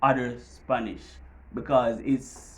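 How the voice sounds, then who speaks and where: A man speaks with a strong Jamaican accent. Audible room echo surrounds his voice. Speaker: vlogger. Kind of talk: casual tutorial.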